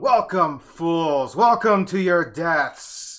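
A put-on character voice at a very slow pace. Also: man, high pitch for a man. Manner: menacing, taunting.

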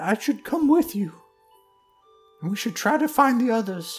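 A put-on character voice is pitched fairly high. Faint music plays in the background. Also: moderate pace. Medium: actual play. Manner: warm, grieving, grateful.

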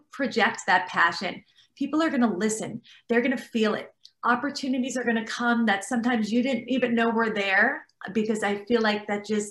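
Here is a woman with an unremarkable speaking voice, pitched fairly high. She moves at a fairly quick pace with fairly even intonation. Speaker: interior designer and TV host. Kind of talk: panel discussion. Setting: video call.

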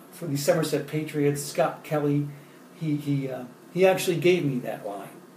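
A man speaks at a moderate pace in a fairly high pitch, his intonation fairly even, with audible room echo and noticeable background noise. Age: 30s. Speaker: poet and motivational speaker. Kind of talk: motivational talk with poetry readings. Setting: Facebook Live stream.

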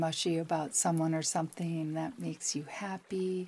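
Fairly slow and fairly low in pitch, a woman talks in a calm, soothing, dark and mellow tone. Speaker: psychic advisor and meditation guide. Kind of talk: guided meditation. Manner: slow, calm, soothing, with long pauses; gentle, warm, reassuring.

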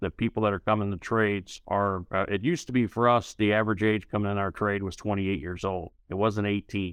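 A man speaks in a fairly low voice with a St. Louis accent. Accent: Midwestern American, St. Louis. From US Midwest, St. Louis. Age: 50s. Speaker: union leader, former carpenter. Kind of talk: interview.

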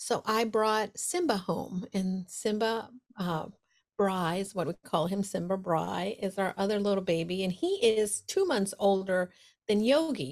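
A normal speaking voice from a woman with an American accent, medium in pitch and fairly slow, with ordinary pitch variation on a very clean recording with a silent background. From New York City (Brooklyn). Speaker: business coach and speaker. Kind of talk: casual interview chat.

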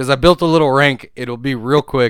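This man's animated tone comes through on a very clean recording with a silent background. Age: 30s. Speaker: video game podcast host. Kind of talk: casual chat.

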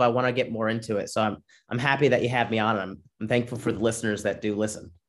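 A man with a medium-pitched voice speaks very fast. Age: 20s. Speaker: comedian. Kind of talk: casual chat.

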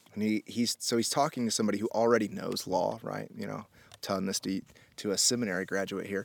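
A man with an American accent, fairly low pitch and vocal fry, talking at a very fast pace with fairly even intonation. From Indianapolis, US Midwest. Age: 30s. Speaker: podcast host. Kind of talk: casual chat. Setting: in person at a rented house in the desert.

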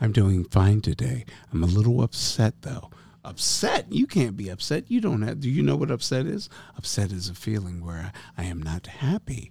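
Speaking at a moderate pace, a man uses lively intonation, and his fairly low, dark, mellow voice is somewhat breathy. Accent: American. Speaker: podcast co-host. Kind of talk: casual banter.

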